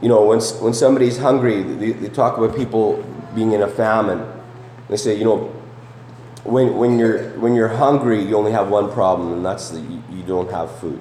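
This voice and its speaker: With audible room echo and noticeable background noise, a man speaks at a medium pitch. His pace is moderate and his intonation fairly even. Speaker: preacher. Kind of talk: sermon. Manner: conversational, many fillers and repetitions.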